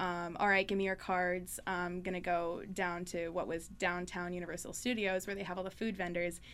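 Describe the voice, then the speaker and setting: A woman speaks at a moderate pace, barely pausing, in a monotone, flat intonation. Audible room echo surrounds her voice. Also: fairly low pitch for a woman. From northern Manitoba, Canada. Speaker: student union executive. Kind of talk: casual chat. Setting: studio.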